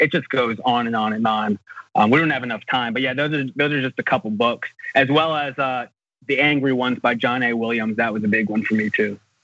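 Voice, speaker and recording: A man with an American accent talks in a plain, everyday voice. He moves at a fairly quick pace with fairly even intonation. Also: medium pitch for a man. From United States. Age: 20s. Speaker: novelist. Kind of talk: interview.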